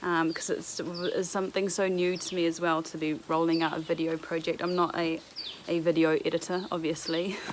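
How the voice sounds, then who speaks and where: A woman with a New Zealand accent speaks at a moderate pace in a fairly low pitch and a flat monotone, over noticeable background noise. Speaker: vlogger. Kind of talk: casual vlog chat. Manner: casual, with fillers.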